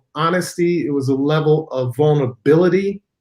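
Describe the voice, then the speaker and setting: A man with an ordinary speaking voice and an American accent talks at a moderate pace, his fairly high pitch held in fairly even intonation. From Chicago, US Midwest. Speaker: physician and spiritual author. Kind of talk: interview.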